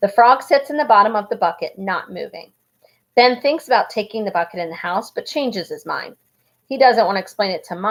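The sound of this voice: A quiet background behind an unforced reading voice with lively intonation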